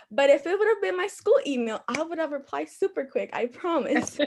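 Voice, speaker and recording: A woman speaks with a Spanish accent and lively intonation. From Dominican Republic. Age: young. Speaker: youth commission applicant. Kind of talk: interview.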